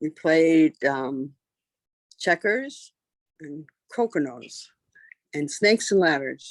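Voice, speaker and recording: A woman with a very deep, low pitch speaks at a very slow pace, leaving long, frequent pauses. Her intonation is lively, and the sound is dry and close with no echo. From Canada (Ontario). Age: 60s. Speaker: interviewee. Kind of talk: interview.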